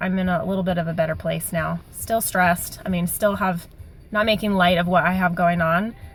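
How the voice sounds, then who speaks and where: Over music in the background, a woman talks at a fairly quick pace in a fairly low pitch. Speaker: vlogger sharing weight loss surgery update. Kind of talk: casual video diary. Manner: fast.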